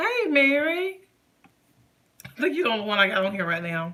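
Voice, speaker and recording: Loud and bright, sharp in tone, a woman talks at a very fast pace. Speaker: lifestyle vlogger. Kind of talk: casual live stream chat.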